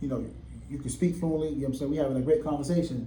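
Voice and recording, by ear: The man speaks at a very fast pace in a fairly high voice with ordinary pitch variation. Audible room echo surrounds him.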